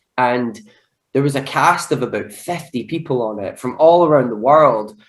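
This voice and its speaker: A man talks at a moderate pace in a Scottish accent. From Scotland, Glasgow. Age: 20s. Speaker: actor. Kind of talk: casual chat. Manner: animated.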